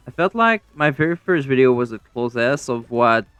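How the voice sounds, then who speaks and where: A man talks fairly quickly with music playing behind him. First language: French. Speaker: gaming YouTuber. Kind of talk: casual vlog commentary. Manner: halting, repeats words.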